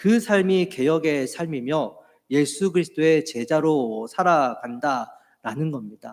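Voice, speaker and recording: Speaking at a very slow pace, a man's fairly high voice carries lively intonation. The recording is very clean with a silent background. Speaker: pastor. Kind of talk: sermon. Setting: church.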